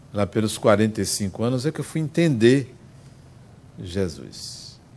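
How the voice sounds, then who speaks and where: Lively intonation runs through this man's speech. He has a normal speaking voice and a fairly slow pace. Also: medium pitch for a man. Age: 60s. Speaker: spiritist lecturer. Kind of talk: lecture. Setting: spiritist center with audience.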